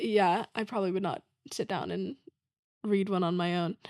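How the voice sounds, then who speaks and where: A woman speaks at a moderate pace and medium pitch in a very clean recording with a silent background and a dry, close sound with no echo. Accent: American. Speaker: playwright. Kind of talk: casual chat. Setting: podcast interview. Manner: informal, many fillers (um, like).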